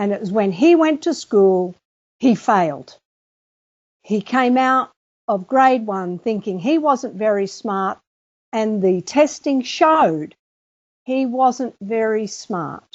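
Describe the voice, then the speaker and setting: A woman with a fairly high pitch talks very slowly with lively intonation, leaving long, frequent pauses. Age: 60s. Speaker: author and teacher. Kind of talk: interview.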